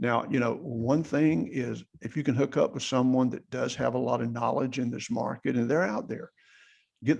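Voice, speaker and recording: At a moderate pace, a man speaks in a medium pitch with vocal fry. His pitch variation is ordinary. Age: 60s. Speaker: general contractor and real estate investor. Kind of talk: podcast interview. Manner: casual conversational.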